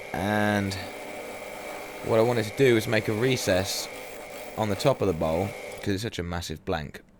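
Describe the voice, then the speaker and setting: A man talks at a fairly low pitch and moderate pace with ordinary pitch variation. He leaves long, frequent pauses, and background noise is noticeable. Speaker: woodturner. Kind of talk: tutorial.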